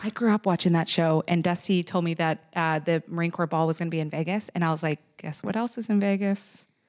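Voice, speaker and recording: In a very clean recording with a silent background, a woman with an unremarkable speaking voice and fairly low pitch talks at a fairly quick pace with hardly any pauses. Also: ordinary pitch variation. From Canada, Nova Scotia. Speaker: Salvation Army officer. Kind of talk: casual interview chat.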